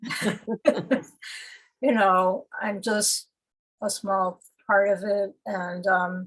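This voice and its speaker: Woman at a medium pitch, very slow pace and fairly even intonation, with long, frequent pauses. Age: 70s. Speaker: poet. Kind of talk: conversational interview. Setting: video call. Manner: halting.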